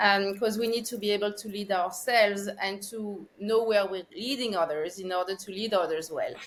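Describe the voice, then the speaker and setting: A woman with a French accent at a moderate pace. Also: medium pitch for a woman, fairly even intonation. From France, Paris. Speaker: consciousness researcher, former finance executive. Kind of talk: podcast interview.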